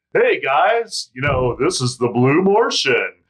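A put-on character voice from a man, high in pitch, at a fairly slow pace. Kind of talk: salesman pitch.

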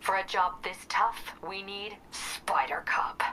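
Using a put-on character voice, a woman growls at a medium pitch and a fairly slow pace over clear background noise. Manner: dramatic, heroic.

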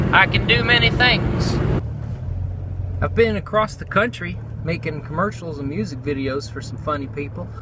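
The dry recording has no echo but noticeable background noise, as a man speaks at a moderate pace with long, frequent pauses. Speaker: radio personality audition, welder, comedian. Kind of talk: radio audition, comedic monologue. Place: car. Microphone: phone near.

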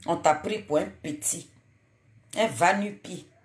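A woman speaks in a somewhat breathy voice. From Côte d'Ivoire. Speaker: online live streamer, political commentator. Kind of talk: late-night live stream monologue. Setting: live video stream at night. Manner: animated, exhortative. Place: home room. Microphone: phone near.

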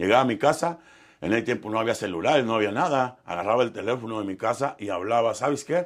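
With a western Mexican accent, a man speaks at a moderate pace with lively intonation over a quiet background. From Mexico, Michoacán and Nayarit; Mexico. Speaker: professional musician; interviewee. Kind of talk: interview storytelling. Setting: studio. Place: studio. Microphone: lapel.

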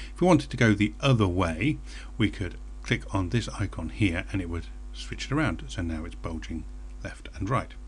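A man with a British accent speaks at a very deep, low pitch with vocal fry. His pitch swings very widely at a moderate pace. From Britain. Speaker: software tutorial presenter. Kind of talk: screencast tutorial.

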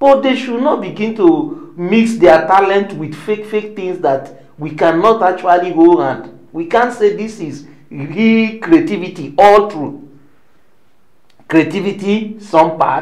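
A man at a very slow pace, lively intonation and big swings in loudness. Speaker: interview guest. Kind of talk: interview answer. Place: office.

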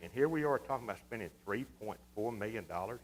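Speaking fairly quickly in a Texas accent, a man keeps to a medium pitch. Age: 60s. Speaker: city council member. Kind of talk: council debate. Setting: city council meeting.

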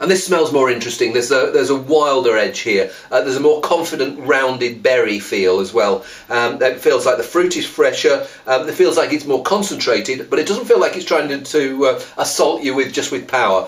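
The man rarely stops to pause. His pace is fairly quick. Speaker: wine reviewer. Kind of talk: wine tasting review to camera. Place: home room.

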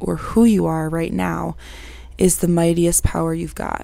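A woman speaks at a fairly slow pace in a dry sound with no echo. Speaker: vlogger. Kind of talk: casual vlog chat. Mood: calm, reflective, subdued. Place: home room. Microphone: lapel.

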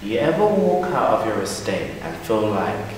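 A man speaks at a fairly low pitch. Strong room echo surrounds his voice, along with light background noise. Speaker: spoken word poet. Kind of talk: spoken word poetry performance. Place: stage. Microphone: camera far.

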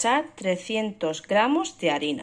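A woman talks fairly slowly while her pitch swings very widely. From Murcia, Spain. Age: 20s. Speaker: mother and home cook vlogger. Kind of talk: recipe instructions. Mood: calm, friendly. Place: kitchen. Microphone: phone near.

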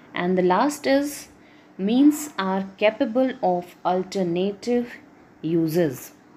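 A woman at medium pitch talks with very wide pitch swings. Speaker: economics lecturer. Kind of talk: lecture.

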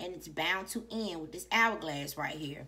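Her tone bright and sharp, a woman with vocal fry speaks at a fairly slow pace with lively intonation. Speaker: tarot reader. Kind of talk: casual reading commentary. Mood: animated, emphatic, profane. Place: home room. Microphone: phone near.

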